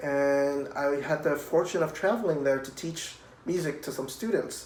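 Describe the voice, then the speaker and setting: A man with a Spanish accent speaks at a fairly high pitch with fairly even intonation. Noticeable background noise and audible room echo are present. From Puerto Rico. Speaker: cellist. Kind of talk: children's music program talk. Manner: friendly, addressing children.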